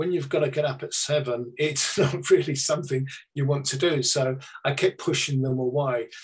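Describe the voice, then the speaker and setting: With a monotone, flat delivery, a man speaks at a moderate pace in a fairly high, somewhat breathy voice. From UK. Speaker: psychic medium. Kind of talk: presentation to an online audience.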